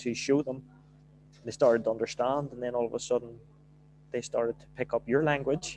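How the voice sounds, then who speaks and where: A man with a strong Belfast accent speaks at a fairly quick pace in a flat monotone, leaving long, frequent pauses. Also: medium pitch for a man. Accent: broad Belfast. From Northern Ireland, Belfast. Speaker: football manager. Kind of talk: podcast interview.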